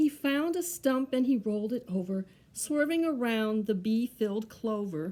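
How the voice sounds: The voice reads aloud in a natural, unaffected way.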